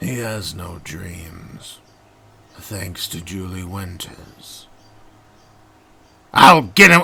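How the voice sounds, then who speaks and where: Putting on a character voice, a man speaks very deep and low at a very slow pace, with long, frequent pauses. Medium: solo performance. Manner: scheming, impatient.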